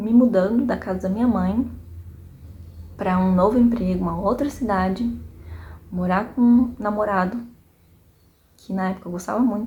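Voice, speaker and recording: A dark, mellow, somewhat breathy tone at a moderate pace, fairly even intonation, long and frequent pauses, and audible room echo. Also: woman, medium pitch for a woman. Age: 30s. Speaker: vlogger, small business owner. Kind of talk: personal reflection monologue. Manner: casual, conversational with fillers.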